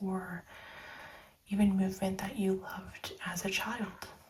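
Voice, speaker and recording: The speaker is soft-spoken, with a gentle, calm tone and a very slow pace. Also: woman. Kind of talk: soft spoken tarot reading. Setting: ASMR recording. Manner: soft-spoken, gentle, calm.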